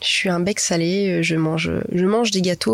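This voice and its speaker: A normal speaking voice at a fairly slow pace carries ordinary pitch variation. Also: woman. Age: 20s. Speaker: pastry shop owner. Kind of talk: interview. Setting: cinema room.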